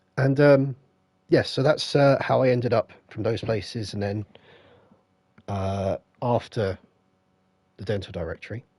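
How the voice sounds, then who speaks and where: A man with a British accent talks at a fairly slow pace with long, frequent pauses, his somewhat breathy voice at a medium pitch with ordinary variation, in a dry, close sound with no echo. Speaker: gaming streamer. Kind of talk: live stream chat. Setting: live stream with headset.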